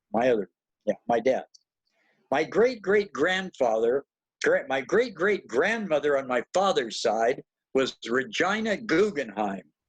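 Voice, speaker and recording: A man with an American accent talks at a fairly slow pace in a fairly high pitch, his voice swinging very widely, with a dry, close sound and no echo. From Southern California. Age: 80s+. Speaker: poet and writer, award honoree. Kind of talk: award acceptance remarks, autobiographical talk.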